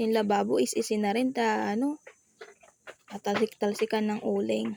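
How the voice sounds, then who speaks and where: A woman talks at a moderate pace with very even loudness. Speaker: vlogger. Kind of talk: casual vlog narration. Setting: at home, kitchen and bedroom. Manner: shy, soft-spoken.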